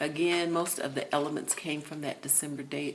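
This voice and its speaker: A woman mumbles in a very deep, low voice, with audible room echo around her. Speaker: craft YouTuber. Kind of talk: casual craft flip-through video. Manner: mumbling, distracted.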